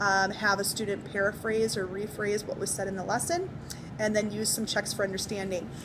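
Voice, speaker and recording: A woman with a medium-pitched voice speaks at a fairly quick pace with fairly even intonation, amid audible room echo and noticeable background noise. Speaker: teacher. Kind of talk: spoken assignment summary. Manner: fast; hesitant with many fillers.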